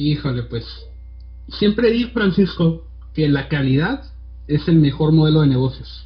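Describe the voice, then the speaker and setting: Long, frequent pauses in a male voice, the pace fairly slow. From Tijuana, Mexico. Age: 20s. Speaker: designer and podcaster. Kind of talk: casual chat.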